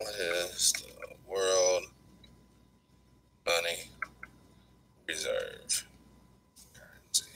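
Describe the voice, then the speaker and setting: The pace is very slow. Long pauses come often. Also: man. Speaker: livestream host. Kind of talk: live stream commentary. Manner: low energy; halting.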